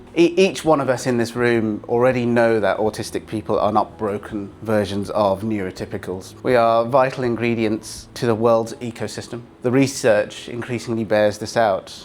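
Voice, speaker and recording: The speaker has a British accent. The pace is moderate, with hardly any pauses. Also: man, medium pitch for a man, ordinary pitch variation. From Britain. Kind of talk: keynote speech. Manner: halting, with repeated words.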